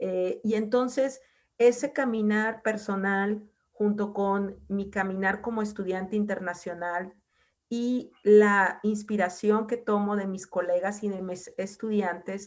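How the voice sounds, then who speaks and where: A woman talks in a normal speaking voice at medium pitch. Her intonation is fairly even and her pace fairly slow. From northwestern Mexico (Mazatlán, Sinaloa). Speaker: university researcher and program coordinator. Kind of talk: lecture. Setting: video call.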